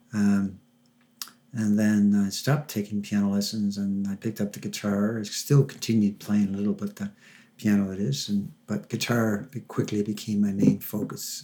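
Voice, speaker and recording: A man's fairly low, dark and mellow voice with fairly even intonation at a moderate pace, very cleanly recorded against a silent background. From Newfoundland, Canada. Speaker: musician. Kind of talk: casual interview chat. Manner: halting, with filler words.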